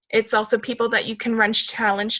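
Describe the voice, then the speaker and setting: A loud voice with a bright, sharp tone talks at a moderate pace. The background is quiet. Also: woman. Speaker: fitness coach leading a team call. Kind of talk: team call, casual coaching talk.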